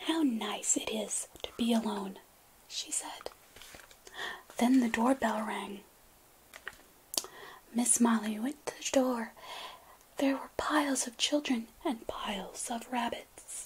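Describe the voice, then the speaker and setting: A soft-spoken woman whispers very slowly with long, frequent pauses amid noticeable background noise. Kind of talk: children's bedtime story reading. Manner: soft-spoken, whispering.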